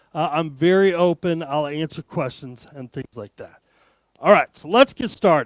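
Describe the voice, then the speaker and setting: A man with an American accent speaks at a moderate pace, his tone animated and his intonation lively. The sound is dry and close with no echo. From Arizona, US. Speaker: tech conference speaker. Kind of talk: keynote talk. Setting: stage with audience.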